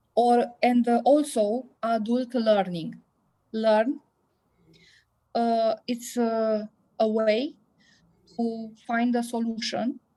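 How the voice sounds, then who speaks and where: In a Romanian accent, a woman speaks very slowly with long, frequent pauses, her intonation monotone and flat and her tone dark and mellow, on a very clean recording with a silent background. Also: fairly high pitch for a woman. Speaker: biology teacher. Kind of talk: conference talk. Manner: halting, many hesitations.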